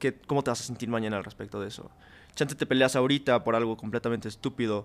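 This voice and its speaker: A man talks at a very fast pace. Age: 20s. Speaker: podcast guest. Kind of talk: casual chat.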